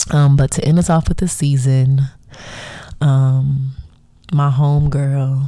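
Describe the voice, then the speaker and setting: Very slow, very deep and low female speech, monotone and flat, at very even loudness, with long, frequent pauses. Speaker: podcast host. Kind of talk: casual solo podcast monologue.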